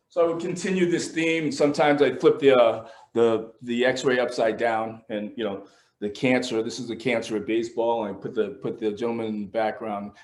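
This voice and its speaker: A man with a medium pitch talks at a fairly quick pace, his pitch varying in an ordinary way. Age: 60s. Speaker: artist. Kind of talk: casual talk about his art. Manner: halting, many repetitions.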